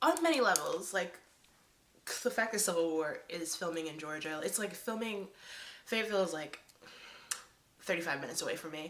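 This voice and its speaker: At a fairly quick pace broken by long, frequent pauses, a woman with a medium-pitched voice speaks in an animated tone with ordinary pitch variation. Audible room echo and noticeable background noise accompany her. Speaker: YouTuber. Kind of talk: casual vlog. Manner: stammering.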